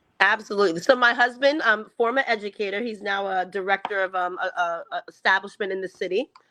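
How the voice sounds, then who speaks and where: In a New York accent, a woman talks very fast at a medium pitch with ordinary pitch variation. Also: hardly any pauses. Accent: New York American. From US, New York (Long Island). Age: 40s. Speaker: educator and education consultant. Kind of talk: interview. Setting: video call.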